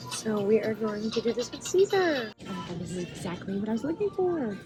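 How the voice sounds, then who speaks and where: A woman speaking at a moderate pace over background music. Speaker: vlogger. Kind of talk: casual vlog haul. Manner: casual, filler-heavy.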